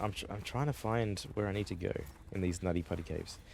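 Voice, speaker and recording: This is a man speaking. He has a Melbourne accent. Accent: classic Australian, pinned to inner Melbourne. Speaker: gaming streamer, vtuber. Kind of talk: casual live-stream chat. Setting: live stream. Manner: casual, halting with restarts.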